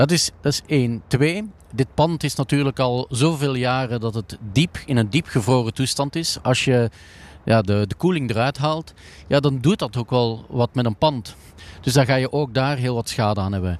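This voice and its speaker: A man with a Flemish accent speaks at a moderate pace and medium pitch, with ordinary pitch variation. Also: dry, close sound with no echo. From Flanders, Belgium. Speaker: company CEO. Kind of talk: interview. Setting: empty indoor ski hall. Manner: halting, many fillers.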